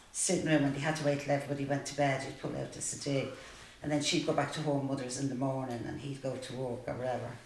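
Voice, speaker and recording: In a Dublin accent, a woman with a very deep, low pitch speaks at a very fast pace amid noticeable background noise and audible room echo. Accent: Dublin Irish. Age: 60s. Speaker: support group participant. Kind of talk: testimony.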